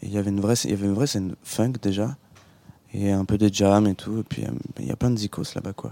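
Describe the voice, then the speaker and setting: An unremarkable speaking voice, this man talks at a fairly quick pace with a fairly low pitch and ordinary pitch variation, the sound dry and close with no echo. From Normandy, France. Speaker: musician. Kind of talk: radio interview.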